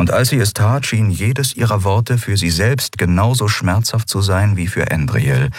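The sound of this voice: Pitch varies in an ordinary way in this unforced reading voice.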